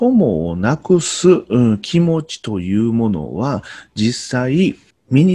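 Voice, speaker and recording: Against a quiet background, a man speaks in a somewhat breathy, dark, mellow tone. His pitch swings very widely. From Kyoto, Japan; Japan. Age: 40s. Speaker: Noh performer and teacher; teacher. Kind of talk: explanatory talk to camera; lecture. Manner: halting, many fillers. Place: home room. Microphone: webcam.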